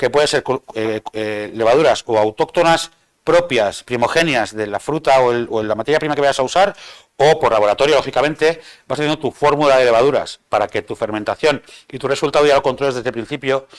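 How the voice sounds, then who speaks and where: Dry, close sound with no echo, from a man at a medium pitch, with ordinary pitch variation and a fairly quick pace. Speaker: bartender giving a training talk. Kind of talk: lecture. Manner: fast.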